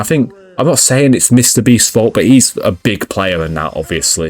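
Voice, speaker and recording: A man with a British accent speaks with very wide pitch swings, his voice dry and close with no echo. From UK. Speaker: gaming youtuber. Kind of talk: casual commentary. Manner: halting.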